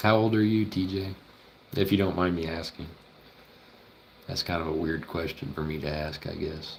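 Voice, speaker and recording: Very deep and low, a man's voice moves at a moderate pace with ordinary pitch variation and long, frequent pauses. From Oklahoma. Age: 20s. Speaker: veterinary student streamer. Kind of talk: casual livestream chat while studying. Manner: casual, thinking aloud.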